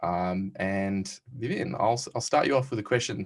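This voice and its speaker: Against a quiet background, a man speaks with an Australian accent. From Western Australia. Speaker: tech company CEO and panel host. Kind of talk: recorded panel conversation. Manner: hesitant, many fillers.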